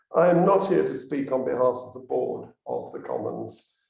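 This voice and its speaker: The man talks at a moderate pace. Room echo is audible. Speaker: elected commons conservator. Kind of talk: public talk. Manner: halting.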